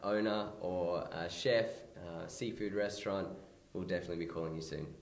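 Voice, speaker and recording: Heard with audible room echo, a man with an Australian accent talks at a moderate pace. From Australia, NSW south coast (Merimbula). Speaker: small business owner. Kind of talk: interview. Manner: hesitant, many fillers.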